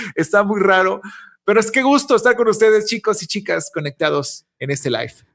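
A quiet background behind a man's high voice with lively intonation. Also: fairly quick pace. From Monterrey, northern Mexico. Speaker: commercial voice-over announcer. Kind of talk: interview answer. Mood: jokey, laughing. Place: office. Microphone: studio mic.

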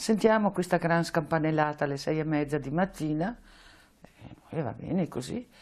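Pausing long and often, a woman with a very deep, low voice speaks with ordinary pitch variation. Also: moderate pace. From northern Italy, Veneto (Vicenza area); Veneto, Italy. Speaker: Holocaust deportation survivor. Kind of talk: testimony; interview answer. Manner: halting. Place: office. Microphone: lapel.

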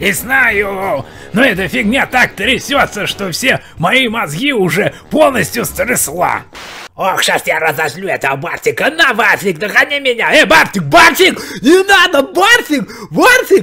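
The man puts on a character voice, pitched high and delivered at a medium speed. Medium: voice reel. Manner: playful, then pleading.

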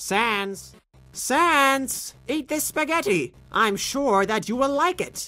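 A female-sounding put-on character voice speaks at a high pitch and a very slow pace. Music plays in the background. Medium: dub. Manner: loud, boastful.

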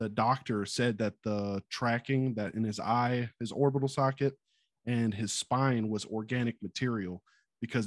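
A man with a plain, everyday voice speaks at medium pitch with an American accent, at a moderate pace and with fairly even intonation. The sound is dry with no echo, and the background is quiet. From US South, Mobile, Alabama; Alabama. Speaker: military service member. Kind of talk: casual chat. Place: home room. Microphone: studio mic.

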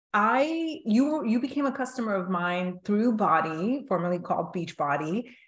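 A woman talks at a moderate pace in a somewhat breathy voice. The background is quiet, but the room echo is audible. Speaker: podcast host interviewing a guest. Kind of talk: interview storytelling. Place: home room. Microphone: video call.

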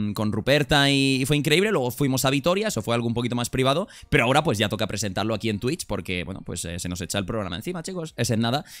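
A man speaks at a very fast pace, his pitch swinging very widely. The background is quiet. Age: 20s. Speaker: streamer. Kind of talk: livestream chat. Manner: animated. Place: home room. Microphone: studio mic.

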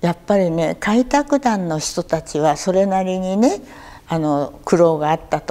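A woman's dark, mellow voice carries lively intonation at a fairly slow pace. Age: 80s. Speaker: war survivor storyteller; war memory storyteller. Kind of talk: testimony; oral history interview answer. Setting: local museum talk event. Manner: conversational, with frequent fillers. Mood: calm, reflective storytelling. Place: hall.

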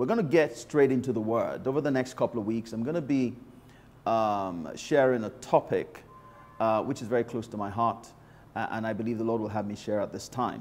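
A man talks at a fairly quick pace with ordinary pitch variation. Music plays behind him. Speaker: pastor. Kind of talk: sermon opening and prayer. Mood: warm, calm, reverent. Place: office. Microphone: lapel.

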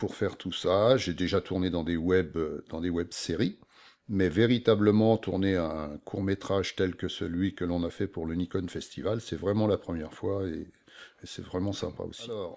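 This man's voice sits very deep and low, with fairly even intonation. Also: fairly slow pace. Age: 60s. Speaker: amateur actor. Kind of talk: interview. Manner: halting. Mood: calm, reflective. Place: home room.

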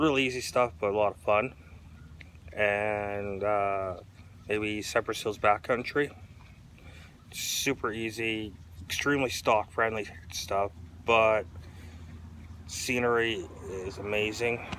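Very slow speech in a bright, sharp tone comes with long, frequent pauses and ordinary pitch variation, the sound dry with no echo over light background noise. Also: man, fairly low pitch for a man. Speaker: off-road vlogger. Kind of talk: casual vlog chat. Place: street. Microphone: phone near.

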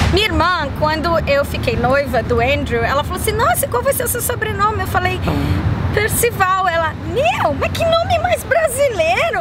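An animated tone comes through at a moderate pace in a Brazilian accent, in a dry sound with no echo and crowd noise in the background. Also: woman. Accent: Brazilian accent in English, medium. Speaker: YouTuber. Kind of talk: casual chat. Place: waterside.

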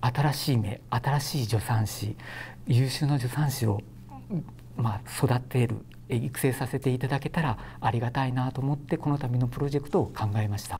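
A somewhat breathy, dark, mellow voice moves at a moderate pace with ordinary pitch variation over light background noise. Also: man. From Japan, Shimane (Hamada); Shimane, Japan. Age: 40s. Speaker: obstetrician. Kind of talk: news interview statement. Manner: formal. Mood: calm, earnest, polite. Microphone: lapel.

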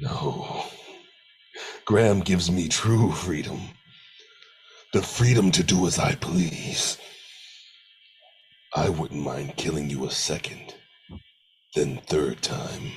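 In a menacing tone, a man with a very deep, low pitch talks at a fairly slow pace with lively intonation and long, frequent pauses. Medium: voice reel. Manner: menacing, cold.

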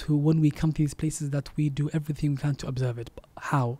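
Speaking at a very fast pace, a man with a fairly high pitch and a dark, mellow, somewhat breathy tone keeps a monotone, flat intonation. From Denmark. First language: not Arabic (speaking Arabic). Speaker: Islamic preacher. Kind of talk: preaching message in English; interview. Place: studio. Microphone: studio mic.

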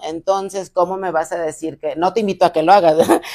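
A woman's intonation stays fairly even as she talks at a moderate pace, with only a quiet background behind her. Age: 30s. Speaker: recovering alcoholic and rehab center owner; podcast guest. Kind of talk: testimony. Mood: earnest personal storytelling. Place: studio.

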